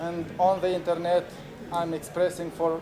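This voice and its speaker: A man with a Romanian accent speaks at a fairly slow pace and a high pitch, in a flat monotone. Noticeable background noise and audible room echo are present. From Moldova. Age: 40s. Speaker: activist and filmmaker. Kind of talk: conference talk. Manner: halting, many fillers.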